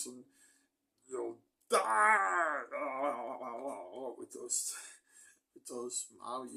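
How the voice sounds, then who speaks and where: Growling in a put-on character voice, a man drags along at a very slow pace with long, frequent pauses. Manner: menacing.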